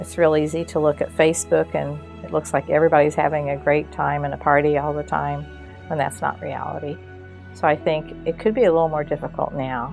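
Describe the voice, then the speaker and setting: There is music behind the voice. The speaker is a woman. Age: old. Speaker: retired educator. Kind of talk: interview answer.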